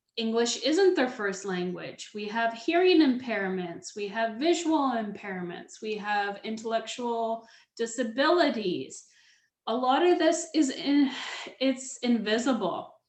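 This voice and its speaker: Speaking at a very slow pace, a woman's voice makes very wide pitch swings amid audible room echo. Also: fairly high pitch for a woman. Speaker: public speaking coach. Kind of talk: webinar presentation. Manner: speeds up when excited; slows down to repeat key points.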